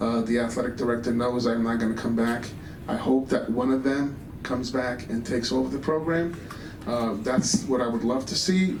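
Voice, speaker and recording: A man's medium-pitched voice with ordinary pitch variation, at a moderate pace, with noticeable background noise and audible room echo. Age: 60s. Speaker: high school basketball coach. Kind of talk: award dinner speech. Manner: halting, many fillers and repetitions.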